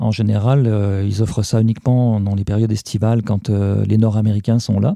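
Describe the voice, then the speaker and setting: Dark and mellow in tone, a man speaks with monotone, flat intonation. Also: fairly low pitch for a man, fairly quick pace, very even loudness. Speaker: podcast columnist. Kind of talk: casual chat.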